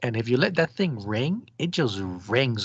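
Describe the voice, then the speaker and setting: A moderate pace and ordinary pitch variation against a quiet background. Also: man. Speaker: ultrasound exam tutor. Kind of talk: tutorial. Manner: casual, hesitant with fillers.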